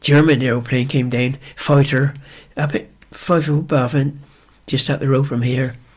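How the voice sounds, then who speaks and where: With a West Country accent, a man speaks in a somewhat breathy, fairly high voice and a monotone, flat intonation. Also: moderate pace. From Wiltshire, England. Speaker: retired ploughing champion. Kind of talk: interview answer.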